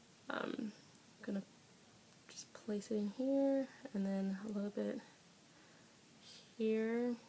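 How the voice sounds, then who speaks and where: A woman at a fairly high pitch and a very slow pace, with fairly even intonation, long and frequent pauses, and noticeable background noise. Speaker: beauty vlogger. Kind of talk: tutorial. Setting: home filming on iPad. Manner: casual, chatty; loud. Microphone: iPad built-in mic, may sound quiet.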